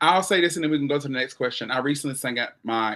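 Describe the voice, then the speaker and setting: Recorded very cleanly against a silent background, a man speaks in a bright, sharp tone with ordinary pitch variation. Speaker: talk show host and gospel singer. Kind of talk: casual interview chat. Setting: livestream.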